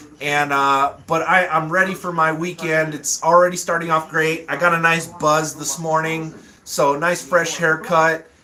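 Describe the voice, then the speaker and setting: Amid noticeable background noise, a man with a fairly high pitch talks at a moderate pace with hardly any pauses. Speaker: livestream host. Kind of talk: casual livestream chat. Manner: animated.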